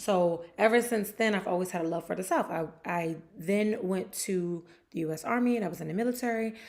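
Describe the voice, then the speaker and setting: A woman with an American accent speaks at a medium pitch in an animated tone. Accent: New Jersey accent, noticed by viewers. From New Jersey. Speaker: sports show host. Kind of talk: casual chat. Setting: livestream on camera.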